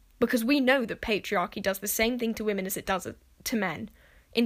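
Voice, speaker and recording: This woman talks at a fairly quick pace with a fairly high pitch. Her tone is animated, with ordinary pitch variation. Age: young. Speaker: solo podcaster. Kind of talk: casual monologue.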